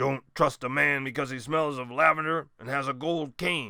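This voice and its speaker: Putting on a gruff, growling, raspy character voice, a man speaks at a medium pitch and a moderate pace. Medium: read story.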